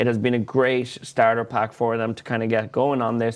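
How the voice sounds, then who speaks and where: A man speaks at a medium pitch in a monotone, flat delivery. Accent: Irish. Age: 20s. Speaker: podcast co-host, business owner. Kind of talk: casual chat.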